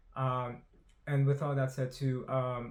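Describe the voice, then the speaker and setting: A man mumbles his words. His voice is somewhat breathy. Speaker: YouTuber doing movie trailer analysis. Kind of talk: trailer analysis monologue. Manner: mumbling, stumbling on words; fast, rushed.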